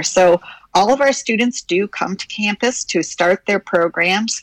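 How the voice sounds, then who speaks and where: With a plain, everyday voice, a woman speaks at a moderate pace with lively intonation in a dry, close sound with no echo. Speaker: university president. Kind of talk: casual interview. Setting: studio.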